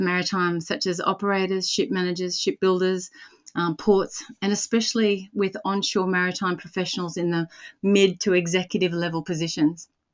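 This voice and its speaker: Speaking with an Australian accent, a woman uses a medium pitch and ordinary pitch variation. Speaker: recruitment company director and webinar host. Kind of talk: webinar introduction. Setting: webinar. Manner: fast.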